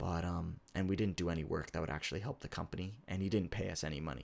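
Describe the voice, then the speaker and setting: This man's voice sits very deep and low, with ordinary pitch variation. Vocal fry runs through his speech. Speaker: game developer. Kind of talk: casual talk to camera.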